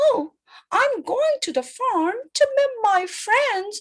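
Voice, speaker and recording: A woman's put-on character voice, squeaky and extremely high-pitched, at a very slow pace. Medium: read story.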